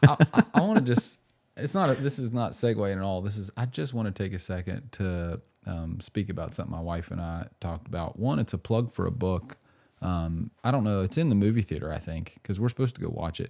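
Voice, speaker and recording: A man with an American accent speaks at a fairly quick pace and a fairly low pitch, his tone dark and mellow. His intonation is lively, and the recording is very clean with a silent background. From West Virginia. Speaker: podcast host. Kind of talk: casual chat. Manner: animated.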